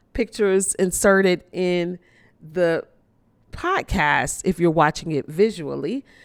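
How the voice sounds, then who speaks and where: In an unremarkable speaking voice, a woman with an American accent talks at a fairly slow pace and medium pitch with ordinary pitch variation, on a very clean recording with a silent background. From Chicago, US Midwest. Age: 50s. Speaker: podcast host. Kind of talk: personal reflection to listeners. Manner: warm, conversational.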